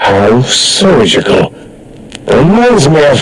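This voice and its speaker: Over clear background noise, a man puts on a raspy character voice, fairly high in pitch, with very wide pitch swings and a very slow pace. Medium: video game. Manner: pompous, rambling.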